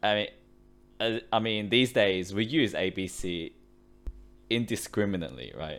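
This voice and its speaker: With an Australian accent, a man speaks at a fairly slow pace and a fairly low pitch. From Sydney, Australia; Chinese-born. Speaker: podcast co-host. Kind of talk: casual chat.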